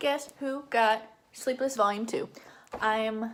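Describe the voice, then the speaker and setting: An animated woman with an American accent and a fairly high pitch. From Florida (Fort Lauderdale). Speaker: book vlogger. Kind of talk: casual vlog talk. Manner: fast.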